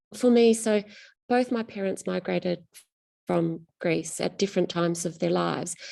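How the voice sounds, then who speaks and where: Against a quiet background, someone speaks at a moderate pace with an Australian accent. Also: woman. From rural Western Australia. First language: Greek. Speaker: novelist. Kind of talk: interview.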